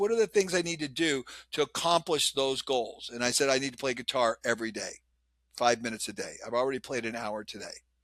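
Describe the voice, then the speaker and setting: This is a man speaking. His tone is animated. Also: dry, close sound with no echo. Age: 60s. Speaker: lean business consultant and author. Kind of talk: podcast interview.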